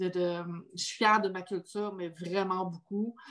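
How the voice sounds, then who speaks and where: Quiet background behind a woman's medium-pitched voice, monotone and flat, at a moderate pace. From Quebec. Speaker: podcast host. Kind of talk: casual chat.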